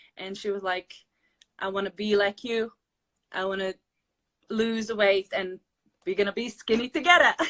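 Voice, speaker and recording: With a Latvian accent and a bright, sharp tone, a woman speaks at a moderate pace with fairly even intonation and long, frequent pauses, the sound dry and close with no echo. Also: medium pitch for a woman. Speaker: weight loss interviewee. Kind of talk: interview. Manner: halting.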